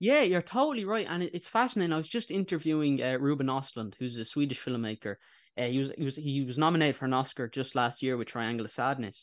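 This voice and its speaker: Speaking at a very fast pace with lively intonation, a man with an Irish accent has a fairly high pitch over a quiet background. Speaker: YouTube interviewer. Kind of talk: radio interview. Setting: radio studio.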